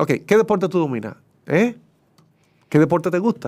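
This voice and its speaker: Fairly quick speech over a quiet background. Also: man. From Dominican Republic. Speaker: sports broadcaster; interview guest. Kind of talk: casual interview. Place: studio.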